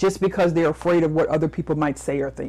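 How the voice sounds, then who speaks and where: With vocal fry and a passionate tone, a woman speaks in a fairly low-pitched voice with ordinary pitch variation. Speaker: motivational speaker and business coach. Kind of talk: interview.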